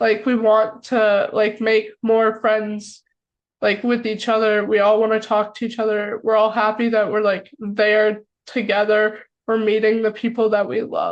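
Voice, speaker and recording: A woman speaks fairly slowly in an American accent. Her pitch is fairly high, and her intonation is monotone and flat. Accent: American accent, noticeable in UK. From United States. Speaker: podcast co-host. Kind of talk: casual chat.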